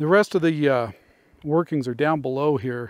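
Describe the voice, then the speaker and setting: A man at a moderate pace with ordinary pitch variation, in a dry sound with no echo over a quiet background. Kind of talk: casual vlog commentary. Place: open country. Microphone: phone near.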